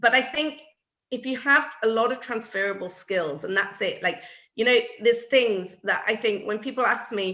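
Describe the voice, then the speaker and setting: A woman's fairly high, bright and sharp voice in a British accent, fairly slow in pace, with ordinary pitch variation. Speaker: floral designer. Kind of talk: casual chat.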